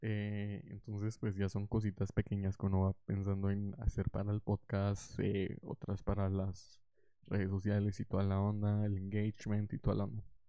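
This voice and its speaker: A man mumbles at a moderate pace. His pitch is fairly low and his intonation monotone and flat. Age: young. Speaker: podcaster. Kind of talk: casual monologue. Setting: home recording with headphones. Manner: mumbling.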